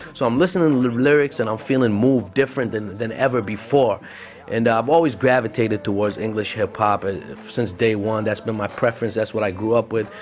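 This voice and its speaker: There is noticeable background noise as a man talks at a very fast pace with medium pitch. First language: Arabic. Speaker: podcast host. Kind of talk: casual solo podcast talk. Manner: animated, halting with fillers.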